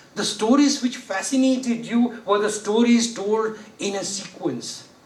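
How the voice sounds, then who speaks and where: A man speaks with ordinary pitch variation. Audible room echo and noticeable background noise can be heard. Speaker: judge giving a training lecture. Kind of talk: lecture. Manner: conversational, rhetorical questions.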